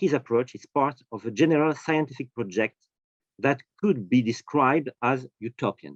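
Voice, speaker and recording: A man with a French accent at medium pitch and a moderate pace, with ordinary pitch variation and a dry, close sound with no echo. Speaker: professor of history of science. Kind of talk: academic lecture. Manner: halting, many fillers.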